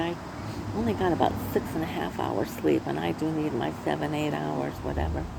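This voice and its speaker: Noticeable background noise runs behind a woman talking at a moderate pace. She speaks with an American accent. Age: 70s. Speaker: crafter vlogger. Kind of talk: casual chat. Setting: outdoors. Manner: halting.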